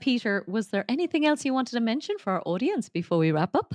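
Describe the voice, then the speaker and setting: A woman at a fairly high pitch and fairly quick pace, very wide pitch swings, a dry, close sound with no echo and a quiet background. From Ireland. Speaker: podcast host. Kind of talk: interview.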